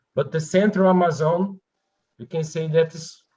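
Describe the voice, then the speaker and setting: A man with a Portuguese accent and a fairly high pitch. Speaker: researcher. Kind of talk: conference Q&A.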